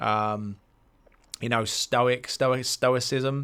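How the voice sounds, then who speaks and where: On a very clean recording with a silent background, a man with a British accent speaks at medium pitch in a bright, sharp tone. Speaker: life coach podcaster. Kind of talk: solo podcast monologue. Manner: fast; casual, hesitant with fillers.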